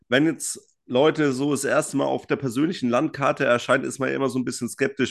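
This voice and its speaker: A man speaks in an animated tone against a quiet background. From Franconia, Germany. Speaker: podcast co-host. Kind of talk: casual chat.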